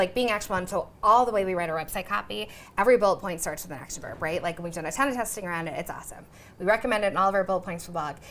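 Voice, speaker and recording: A woman speaks at a very fast pace in an energetic tone, her pitch sitting at a medium level. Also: ordinary pitch variation. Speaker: content marketing director. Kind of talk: interview Q&A. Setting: room with live audience. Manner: fast, energetic.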